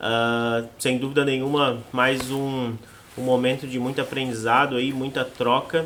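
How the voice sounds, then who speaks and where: A man with a Florianópolis accent speaks fairly slowly at a medium pitch, with noticeable background noise. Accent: Florianópolis area (manezinho). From Santa Catarina, Brazil (Palhoça). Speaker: podcast host. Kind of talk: podcast interview.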